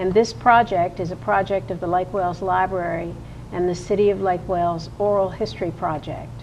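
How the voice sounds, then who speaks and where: With music in the background, a woman talks at a fairly quick pace. Her pitch is fairly low, with ordinary variation. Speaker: oral history interviewer. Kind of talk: interview questions.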